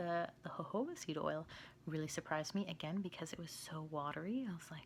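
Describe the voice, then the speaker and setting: The voice is quiet and moves at a moderate pace. Pitch variation is ordinary. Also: woman. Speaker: skincare vlogger. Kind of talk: product review. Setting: home, at night. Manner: quiet, hushed; casual, filler-heavy.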